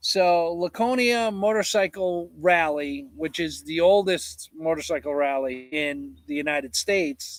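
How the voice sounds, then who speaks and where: Loud and high-pitched, a man speaks at a fairly slow pace. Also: ordinary pitch variation, hardly any pauses. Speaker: homesteader livestreamer. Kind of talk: casual live chat. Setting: livestream at home.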